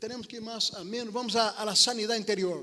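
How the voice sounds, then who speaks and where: A man's raised, projected voice carries a bright, sharp tone at a high pitch. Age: 60s. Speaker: preacher, missionary. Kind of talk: sermon. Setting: church service, livestream. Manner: halting, repeats words.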